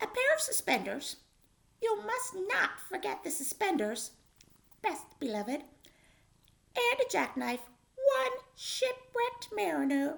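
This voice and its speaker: This is a squeaky, put-on character voice. It moves at a fairly slow pace. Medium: read story. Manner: sly, wheedling.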